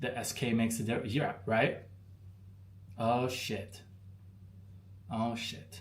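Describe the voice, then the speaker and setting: A man speaks with an American accent at a medium pitch. His voice is somewhat breathy, and room echo can be heard. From Arizona, US. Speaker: expat vlogger. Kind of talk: live stream chat with viewers. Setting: live stream. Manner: casual, slangy.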